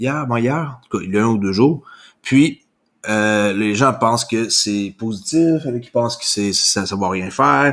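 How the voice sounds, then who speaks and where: Speaking fairly slowly in a medium pitch with lively intonation, a man has a plain, everyday voice on a very clean recording with a silent background. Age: 40s. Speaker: crypto YouTuber. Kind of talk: solo news commentary. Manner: casual with frequent fillers.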